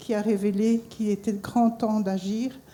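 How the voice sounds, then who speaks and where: In a fairly high pitch, a woman speaks with a dark, mellow, somewhat breathy tone and flat, monotone intonation. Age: 60s. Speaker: cancer survivor. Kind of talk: testimony.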